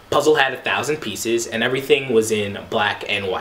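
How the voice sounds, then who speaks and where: A man talks with lively intonation. Noticeable background noise can be heard. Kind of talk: spoken word poetry performance.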